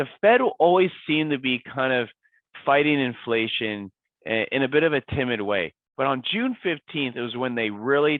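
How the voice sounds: A man's raspy voice sits at medium pitch with lively intonation. He keeps a moderate pace, and the sound is dry and close with no echo.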